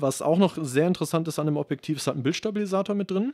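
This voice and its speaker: A man's dark, mellow tone with ordinary pitch variation comes through a dry, close sound with no echo on a very clean recording with a silent background. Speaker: video and gear technician. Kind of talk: casual chat. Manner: hesitant, many fillers.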